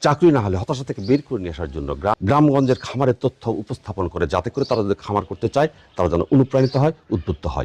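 A man speaking at medium pitch swings very widely up and down, with vocal fry in his voice. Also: dry, close sound with no echo. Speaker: youth development show host. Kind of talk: interview on a dairy farm; scripted presenter intro. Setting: on location in a village farm.

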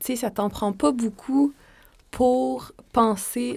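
In a Quebec accent, a woman speaks at a very slow pace on a very clean recording with a silent background. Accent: Québécois French. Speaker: podcast host. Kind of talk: casual chat.

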